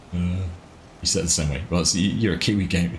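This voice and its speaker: A man with a New Zealand accent, very deep and low in pitch, with vocal fry and a very fast pace. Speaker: gaming live streamer. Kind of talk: live stream commentary. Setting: live stream. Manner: casual, chatty.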